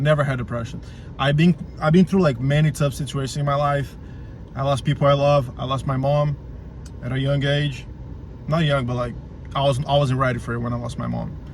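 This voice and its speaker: With a Portuguese accent, the speaker moves at a fairly quick pace in a monotone, flat intonation broken by long, frequent pauses. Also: man, fairly high pitch for a man. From Brazil. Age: 20s. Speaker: vlogger. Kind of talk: motivational rant to camera. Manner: halting, many repeated words; emphatic, swearing.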